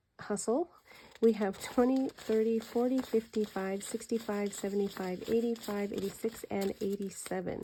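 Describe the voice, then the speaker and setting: The voice is soft-spoken. Its tone is dark and mellow. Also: woman. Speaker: budgeting content creator. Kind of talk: cash envelope stuffing tutorial. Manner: soft-spoken, quiet; counting aloud.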